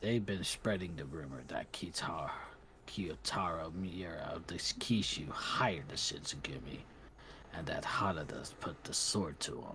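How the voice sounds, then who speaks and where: Whispering in a put-on character voice, a man leaves long, frequent pauses. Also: moderate pace. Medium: game stream. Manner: curt, authoritative.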